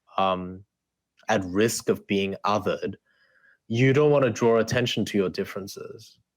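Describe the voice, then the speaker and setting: A man with an Australian accent speaks with ordinary pitch variation and long, frequent pauses. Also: medium pitch for a man, moderate pace. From South Korea, then Australia from age eight. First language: Korean. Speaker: debate coach and author. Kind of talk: interview.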